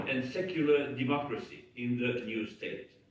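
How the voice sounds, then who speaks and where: Noticeable background noise and audible room echo accompany this man as he talks. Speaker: human rights advocate. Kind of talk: conference speech. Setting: parliament conference.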